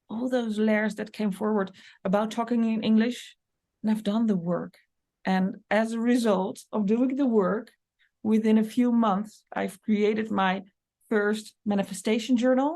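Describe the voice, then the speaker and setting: A woman with a Dutch accent speaks fairly slowly with a fairly high pitch, a dark, mellow tone and fairly even intonation against a quiet background. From Netherlands. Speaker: business coach and medium. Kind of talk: podcast monologue.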